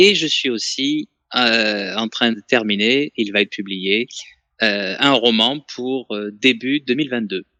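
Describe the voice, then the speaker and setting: Over a quiet background, a man at medium pitch speaks at a very slow pace with a bright, sharp tone and ordinary pitch variation, the sound dry and close with no echo. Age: 30s. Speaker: author and French teacher. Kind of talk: interview.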